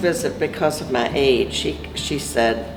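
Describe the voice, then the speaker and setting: A woman speaks at a fairly slow pace with ordinary pitch variation. Audible room echo surrounds her voice, and music plays in the background. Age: 70s. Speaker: cancer survivor. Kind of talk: testimony.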